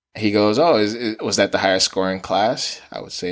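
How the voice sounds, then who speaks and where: With an American accent, a man speaks fairly quickly in an ordinary speaking voice pitched fairly low. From Nigeria, then New York City from age ten. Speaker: physical therapy student. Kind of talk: podcast interview storytelling.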